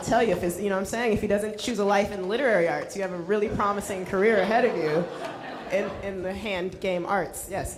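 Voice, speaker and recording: A woman's medium-pitched voice at a fairly quick pace, with ordinary pitch variation and hardly any pauses, over noticeable background noise. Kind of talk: event host introduction.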